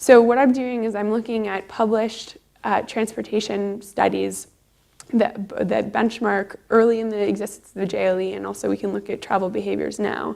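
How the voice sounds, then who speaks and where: In a Canadian accent, a woman talks at a moderate pace. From Canada, Toronto. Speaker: PhD researcher. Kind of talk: conference talk.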